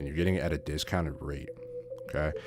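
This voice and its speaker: A man with a very deep, low pitch at a very fast pace over noticeable background noise. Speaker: trading educator. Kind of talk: lecture. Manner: animated.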